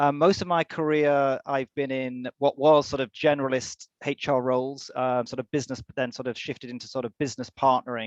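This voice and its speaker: Against a quiet background, a man with a medium pitch talks at a fairly quick pace with fairly even intonation, the sound dry and close with no echo. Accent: British. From UK. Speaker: HR executive. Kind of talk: webinar interview.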